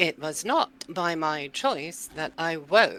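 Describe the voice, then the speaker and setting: A put-on character voice at a middle pitch and a very slow pace. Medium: actual play. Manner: stern, archaic, threatening.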